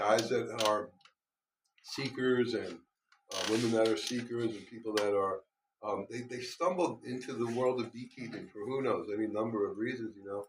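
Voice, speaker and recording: In an ordinary speaking voice, the speaker goes at a moderate pace with fairly even intonation and big swings in loudness. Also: man, medium pitch for a man. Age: 60s. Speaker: beekeeper and guest speaker. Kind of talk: talk to a club meeting. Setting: meeting room with live audience.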